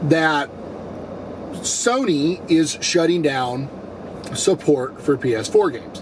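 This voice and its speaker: A man with a fairly high voice talks very slowly, leaving long, frequent pauses. His intonation is lively. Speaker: gaming YouTuber. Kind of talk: casual vlog talk to camera.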